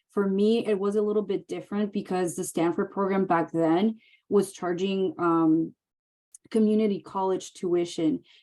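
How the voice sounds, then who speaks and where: At a moderate pace and medium pitch, a woman speaks in a dark, mellow tone with a Mexican accent. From Mexicali, Mexico / Calexico border area. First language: Spanish. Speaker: emergency medicine physician assistant. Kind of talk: Q&A webinar.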